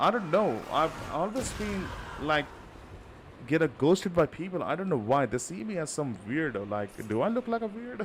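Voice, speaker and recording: Amid noticeable background noise, a man with an Indian accent speaks at a moderate pace in a fairly high voice with very wide pitch swings. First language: not English. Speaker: gaming streamer. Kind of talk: live gameplay stream chat.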